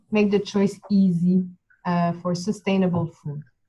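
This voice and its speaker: A woman with a Quebec accent speaks at a fairly slow pace in a somewhat breathy voice. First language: French. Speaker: project team presenter. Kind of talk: webinar presentation.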